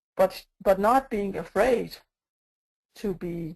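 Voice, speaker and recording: A woman speaks with a non-native accent. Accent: non-native English, mispronounces some words. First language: not English. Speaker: agile coach. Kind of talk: conference talk. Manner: hesitant, many fillers.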